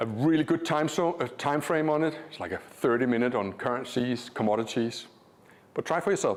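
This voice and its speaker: This man has a Danish accent and a fairly high pitch. He talks at a fairly quick pace with lively intonation. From Denmark. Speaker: trading educator. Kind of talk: live seminar presentation. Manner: animated.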